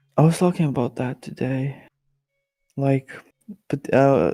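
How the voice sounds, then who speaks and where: Over music in the background, a man with a medium pitch speaks fairly slowly in a dry, close sound with no echo. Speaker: gamer. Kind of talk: casual gameplay chat.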